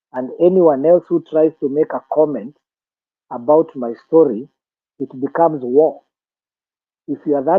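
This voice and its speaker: Long, frequent pauses break up a man's speech, pitched fairly high with ordinary pitch variation. His loudness swings widely. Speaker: film industry trainer. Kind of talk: lecture.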